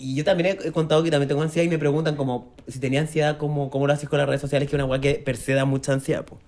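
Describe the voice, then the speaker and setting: Very fast pace with hardly any pauses. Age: 30s. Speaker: podcast host. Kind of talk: casual chat.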